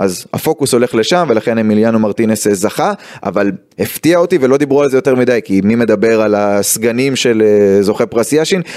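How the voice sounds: The intonation is lively and the tone slightly mellow. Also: man, fairly low pitch for a man, few pauses.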